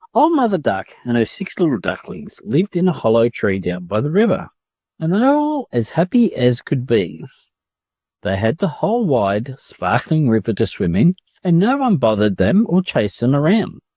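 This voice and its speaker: Speaking at a moderate pace with an Australian accent, a man sounds somewhat breathy as his pitch swings very widely. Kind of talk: children's story reading for English learners.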